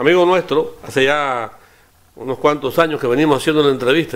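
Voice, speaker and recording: At a very fast pace, a man speaks with fairly high pitch and fairly even intonation. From Cuba. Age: 60s. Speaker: radio interviewer. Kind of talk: interview.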